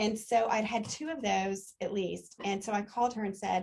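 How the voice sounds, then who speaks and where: Ordinary pitch variation runs through a somewhat breathy voice. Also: woman. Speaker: customer giving a product testimonial. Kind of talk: testimony. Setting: live gathering with small group. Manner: fast; halting, many fillers and restarts.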